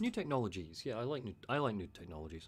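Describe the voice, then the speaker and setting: A man mumbles through a put-on character voice at a very fast pace. His pitch sits at a medium level but swings very widely. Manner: drowsy mumbling.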